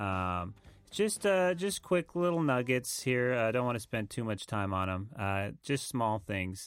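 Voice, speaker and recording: On a very clean recording with a silent background, a man with a medium pitch and relaxed tone speaks fairly slowly, his pitch swinging very widely. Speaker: musician, co-host. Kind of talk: casual chat, podcast banter. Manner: relaxed, rambling, joking.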